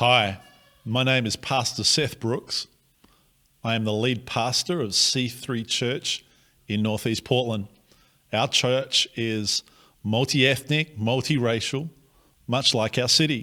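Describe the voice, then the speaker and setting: Speaking very slowly in an Australian accent, this bright, sharp-toned voice shows ordinary pitch variation and takes long, frequent pauses, on a very clean recording with a silent background. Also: man, medium pitch for a man. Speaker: pastor. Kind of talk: prepared address to the congregation. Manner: formal.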